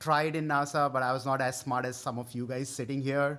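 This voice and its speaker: A man with an Indian accent speaks at a fairly high pitch in a bright, sharp tone with monotone, flat intonation, on a very clean recording with a silent background. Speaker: tech product manager, guest speaker. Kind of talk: conference talk. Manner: halting.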